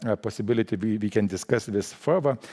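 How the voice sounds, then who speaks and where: With a Lithuanian accent, a man speaks at a moderate pace in a dark, mellow tone with ordinary pitch variation, the sound dry and close with no echo. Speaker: central bank official. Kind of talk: conference panel talk. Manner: halting, many restarts.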